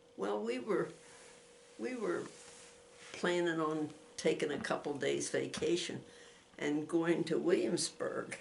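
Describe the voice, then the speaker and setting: Speaking at a fairly slow pace with long, frequent pauses, a woman is heard amid audible room echo and noticeable background noise. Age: 90s. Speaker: grandmother giving faith testimony. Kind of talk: testimony. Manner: halting.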